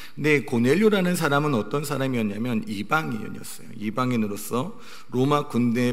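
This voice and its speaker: His pitch sits in the middle range for a man. The room adds audible echo to his speech. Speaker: pastor. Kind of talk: sermon.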